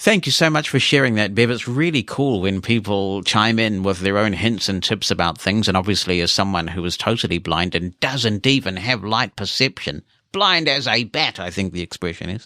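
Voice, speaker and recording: Moderately paced and with hardly any pauses, a man speaks with a New Zealand accent and lively intonation. His fairly low voice has a bright, sharp tone on a very clean recording with a silent background. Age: 50s. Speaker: podcast host. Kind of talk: podcast monologue, reading listener emails.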